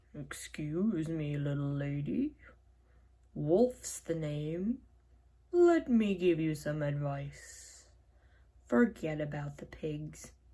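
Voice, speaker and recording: In a put-on character voice that sounds female, the speaker uses a middle pitch at a very slow pace with long, frequent pauses. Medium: read story. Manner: smooth, ingratiating.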